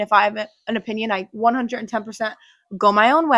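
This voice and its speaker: On a very clean recording with a silent background and a dry, close sound with no echo, a woman with a fairly high pitch speaks in an animated tone. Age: 20s. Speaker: podcast host. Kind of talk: casual chat. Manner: loud.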